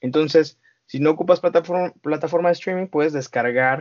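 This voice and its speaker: This man has an unremarkable speaking voice, pitched fairly high with ordinary pitch variation. He talks at a fairly quick pace. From Mexico, Estado de México (Coacalco). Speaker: founder of an independent music media outlet. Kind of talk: podcast interview.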